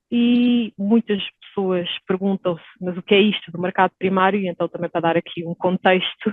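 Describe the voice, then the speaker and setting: Speaking in a Portuguese accent, a woman of medium pitch keeps a moderate pace with hardly any pauses and fairly even intonation. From Portugal. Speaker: stock exchange executive. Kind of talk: podcast interview. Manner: hesitant, many fillers.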